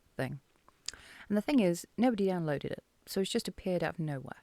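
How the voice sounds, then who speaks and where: A woman speaks quietly at a fairly quick pace in a British accent. Her tone is dark and mellow. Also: dry, close sound with no echo, very clean recording, silent background. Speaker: political commentary vlogger. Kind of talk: casual vlog commentary. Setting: dark room at home at night. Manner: quiet, subdued.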